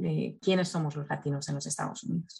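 Her voice is very deep and low for a woman. She speaks at a moderate pace against a quiet background. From Spain. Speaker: nonprofit communications specialist. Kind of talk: interview. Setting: video call. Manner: halting, frequent repetitions.

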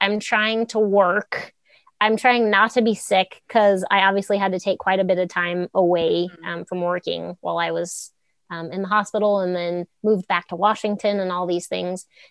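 A woman with a normal speaking voice talks at a moderate pace, her medium pitch carrying fairly even intonation. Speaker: rancher and runner with Crohn's. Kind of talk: personal testimony in casual interview. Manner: conversational with frequent fillers and laughter.

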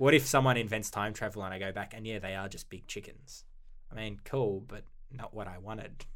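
This man's voice sits fairly low in pitch. He talks at a fairly quick pace with fairly even intonation. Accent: Australian. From Australia. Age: 20s. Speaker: paleontology PhD student. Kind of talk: casual interview.

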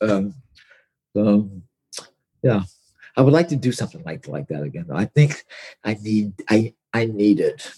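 A man with a fairly low voice talks at a moderate pace, leaving long, frequent pauses. His pitch swings very widely, and the sound is dry and close with no echo. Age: 60s. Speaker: author and magazine editor. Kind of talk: casual interview chat. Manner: halting, repetitive starts.

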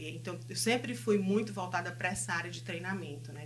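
Noticeable background noise and audible room echo are both present. Over them, a woman talks fairly quickly. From Brazil, Fortaleza (Northeast). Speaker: counselor and business owner. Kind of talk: interview.

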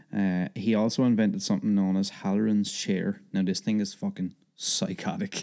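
A man in an Irish accent speaks at a moderate pace with very even loudness and hardly any pauses. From Ireland. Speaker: podcast guest. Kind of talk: reading aloud; casual chat.

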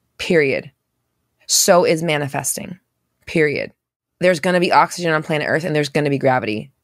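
A woman with a very deep, low voice and ordinary pitch variation speaks with long, frequent pauses. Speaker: manifestation coach and podcast host. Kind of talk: casual live Q&A coaching chat. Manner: sometimes sounds accusatory in tone; casual, fast, many fillers and restarts.

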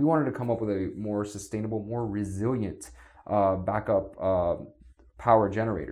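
A man with an American accent speaks in a normal speaking voice, fairly low in pitch, at a moderate pace with ordinary pitch variation. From US, South Florida. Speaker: city sustainability official. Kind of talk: podcast interview.

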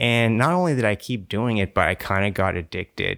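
This man speaks at a fairly quick clip with an American accent. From Texas. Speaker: cinematographer. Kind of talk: casual interview chat.

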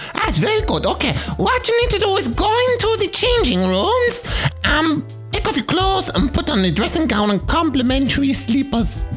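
Clear music plays in the background behind a high-pitched, put-on character voice. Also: moderate pace. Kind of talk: posh, hard to understand.

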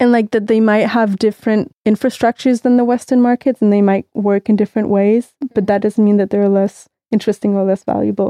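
A woman with a Danish accent speaks at a fairly quick pace in a fairly high pitch, her dark, mellow tone delivered with monotone, flat intonation and very even loudness in a dry, close sound with no echo. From Denmark, Copenhagen. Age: 30s. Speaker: music industry professional. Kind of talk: casual interview.

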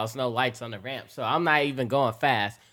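On a very clean recording with a silent background, a man with an American accent speaks in a bright, sharp tone. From Metro Detroit, Michigan. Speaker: car YouTuber.

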